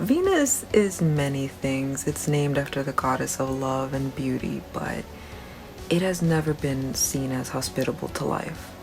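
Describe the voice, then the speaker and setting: A soft-spoken woman with a very deep, low pitch, a fairly slow pace and ordinary pitch variation, with music in the background. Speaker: science video creator. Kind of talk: science explainer talk to camera.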